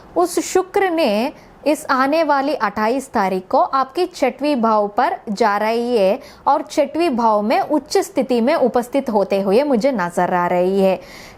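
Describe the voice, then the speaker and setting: A high-pitched woman talks with hardly any pauses and very even loudness. Her pitch swings very widely. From South India. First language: South Indian language (not Hindi) (speaking Hindi). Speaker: astrologer. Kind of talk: astrology forecast talk.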